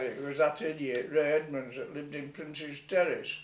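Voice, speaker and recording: A fairly slow-talking man with a Yorkshire accent and a fairly high pitch, against noticeable background noise. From North Yorkshire, Scarborough. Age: 70s. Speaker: retired fisherman. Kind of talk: storytelling.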